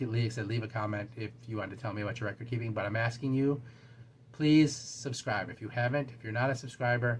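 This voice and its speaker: Very fast, fairly even-toned speech from a man, medium in pitch and somewhat breathy. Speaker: booktube channel host. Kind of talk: casual talk to camera. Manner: halting, stumbling over words.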